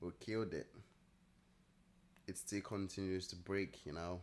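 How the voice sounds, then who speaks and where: Very deep and low in pitch, a man speaks at a fairly slow pace with monotone, flat intonation and long, frequent pauses. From Nigeria. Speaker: day trader streamer. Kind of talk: live trading stream chat.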